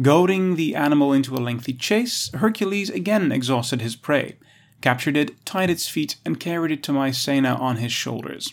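In a very clean recording with a silent background, a man with an ordinary speaking voice talks at a moderate pace, fairly high, with lively intonation. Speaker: audio article narrator. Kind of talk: documentary narration, scripted reading of an encyclopedia article. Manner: measured, even, formal; steady authoritative pace, clear diction.

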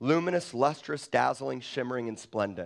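Against a quiet background, the speaker uses an intense, animated tone and lively intonation. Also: man. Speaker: pastor. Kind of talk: sermon. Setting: church.

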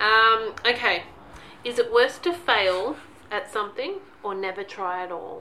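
Speaking at a fairly slow pace, a woman with an unremarkable speaking voice uses a fairly high pitch, lively intonation and big swings in loudness. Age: 40s. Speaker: podcast co-host, mother and teacher. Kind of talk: casual chat. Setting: at home in son's bedroom.

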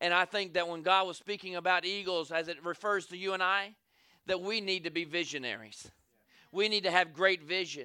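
In a bright, sharp, animated tone, a man with a Southern US accent talks at a fairly quick pace and a high pitch, on a very clean recording with a silent background. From US South. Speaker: evangelist preacher. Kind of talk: Southern-style revival sermon, call-and-response with congregation. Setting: church service with congregation. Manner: animated, rhythmic preaching with repeated 'say amen' calls.

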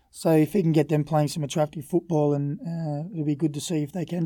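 A fairly high-pitched man's voice with a dark, mellow tone, an Australian accent and monotone, flat intonation, in a very clean recording with a silent background. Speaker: former footballer. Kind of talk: casual chat.

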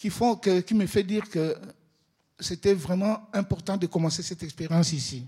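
A man's high-pitched voice with a dark, mellow tone, in dry, close sound free of echo. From Congo (DRC). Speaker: photographer and social worker. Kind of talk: exhibition opening talk.

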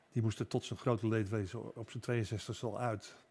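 A man speaks very slowly at a medium pitch, somewhat breathy. His intonation is fairly even, in a very clean recording with a silent background. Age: 70s. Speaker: newspaper columnist. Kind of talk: casual chat.

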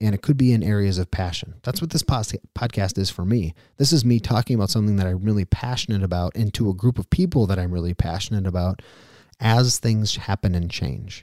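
Recorded very cleanly with a silent background and a dry, close sound with no echo, a man with a fairly low, dark, mellow voice talks very fast with ordinary pitch variation. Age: 30s. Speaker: podcast host. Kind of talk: solo podcast monologue. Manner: casual, conversational.

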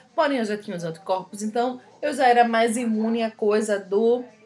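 A woman with a medium pitch speaks at a moderate pace, and noticeable background noise is present. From Recife, Brazil. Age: 20s. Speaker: podcast co-host. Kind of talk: casual chat.

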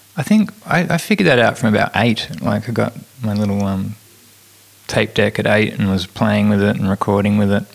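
With an Australian accent, a man talks at a fairly quick pace in a fairly low pitch with ordinary pitch variation. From Tasmania, Australia. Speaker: author and comedian. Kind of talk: interview. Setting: studio.

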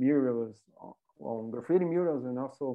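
A man is speaking. He has a Portuguese accent. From Brazil, Rio de Janeiro. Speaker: graffiti artist. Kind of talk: casual interview.

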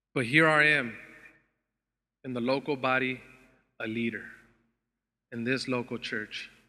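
A man with an American accent, medium pitch, bright and sharp tone, fairly even intonation, moderate pace, and long, frequent pauses. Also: very clean recording, silent background. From Los Angeles area, US. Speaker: preacher. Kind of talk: sermon.

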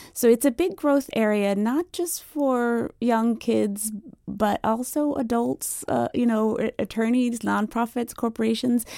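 A woman's fairly high voice, an unremarkable speaking voice, at a fairly slow pace with ordinary pitch variation. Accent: American. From Washington DC and Virginia Beach. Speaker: cartographer. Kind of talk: radio interview.

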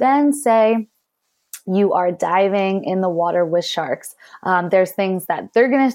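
This woman has an unremarkable speaking voice and an American accent. Her pitch sits in the middle range and varies in an ordinary way. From US, Philadelphia area. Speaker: conservationist and free diver. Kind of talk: interview.

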